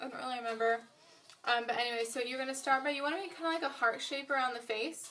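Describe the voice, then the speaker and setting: This is a woman talking. She has a high pitch. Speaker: beauty vlogger. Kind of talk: makeup tutorial. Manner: mumbling; casual, filler-heavy.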